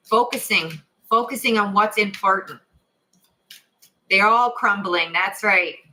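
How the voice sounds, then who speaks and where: The voice has a bright, sharp tone, fairly even intonation and very even loudness. It moves at a fairly slow pace with long, frequent pauses. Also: woman, medium pitch for a woman. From Canada (Ontario). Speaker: tarot reader. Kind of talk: live stream tarot reading with chat. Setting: live stream. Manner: casual, chatty; stuttering.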